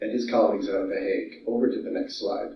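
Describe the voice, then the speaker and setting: A man with an American accent. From California. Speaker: disaster management specialist. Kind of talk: conference presentation. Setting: video call. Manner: animated.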